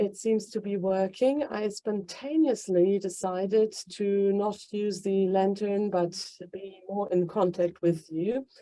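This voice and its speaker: With a German accent, a woman talks fairly slowly in a medium-pitched, dark and mellow voice with fairly even intonation. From Germany, Hanover, Kurdish Yazidi family. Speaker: human rights activist, organization founder. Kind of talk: welcome speech. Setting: stage with audience.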